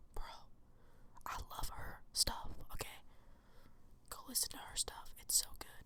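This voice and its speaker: Whispering at a fairly slow pace, with big swings in loudness and long, frequent pauses. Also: woman. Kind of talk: ASMR ramble, casual personal stories. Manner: whispered, soft-spoken.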